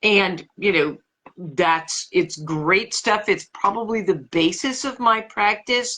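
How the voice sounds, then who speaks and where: The woman's voice has a medium pitch and a bright, sharp tone. She talks at a very slow pace with lively intonation. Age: 60s. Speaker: author and practicing witch. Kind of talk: interview. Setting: livestream video call. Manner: hesitant, many fillers.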